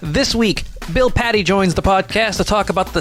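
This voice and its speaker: Music is audible in the background. Over it, a man talks at a moderate pace. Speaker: podcast host. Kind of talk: podcast intro. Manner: joking, self-deprecating.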